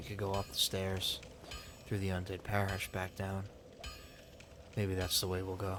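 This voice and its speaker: A soft-spoken man with a very deep, low pitch, monotone flat intonation, a moderate pace and long, frequent pauses, with noticeable background noise. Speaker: ASMR gaming channel host. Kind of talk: role-play narration of the game story in third person. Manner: soft-spoken, relaxing.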